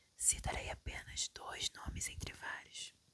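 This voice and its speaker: A woman whispers at a very slow pace. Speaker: ASMR reader. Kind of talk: sleep story reading. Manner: whispered, soft.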